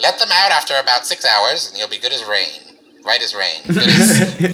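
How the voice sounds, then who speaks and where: A man's put-on character voice, high in pitch. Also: moderate pace. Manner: cheerful, businesslike, upselling.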